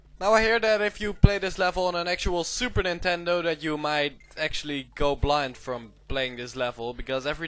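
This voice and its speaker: A man with a non-native accent and lively intonation. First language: not English. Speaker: video game let's player. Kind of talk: gameplay commentary. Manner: casual, animated.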